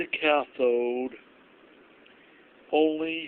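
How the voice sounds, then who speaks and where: The man speaks with monotone, flat intonation. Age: old. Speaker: former electronics engineering technician. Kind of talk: electronics tutorial demonstration. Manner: hesitant, many fillers.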